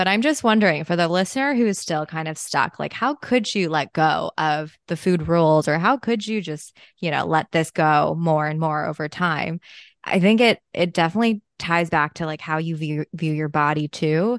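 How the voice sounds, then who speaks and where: Against a quiet background, a woman speaks at a moderate pace and a fairly low pitch with ordinary pitch variation, the sound dry and close with no echo. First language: Chinese. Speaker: podcast host, dietitian. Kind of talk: casual interview.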